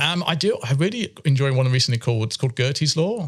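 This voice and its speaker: A man with a British accent talks at a very fast pace. The recording is very clean, with a silent background. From UK. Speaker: chemistry professor. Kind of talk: interview. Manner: hesitant, with many fillers.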